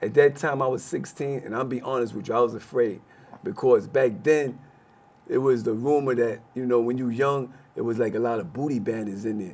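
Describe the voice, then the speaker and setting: Speaking fairly quickly with an American accent, a man has a plain, everyday voice at a medium pitch with ordinary pitch variation. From Brooklyn, New York. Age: 60s. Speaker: former prisoner. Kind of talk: interview.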